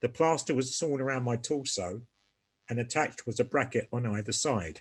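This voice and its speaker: Somewhat breathy, a man with a British accent speaks at a medium pitch with ordinary pitch variation. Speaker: polio survivor. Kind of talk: testimony. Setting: video call. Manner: halting, pausing for breath.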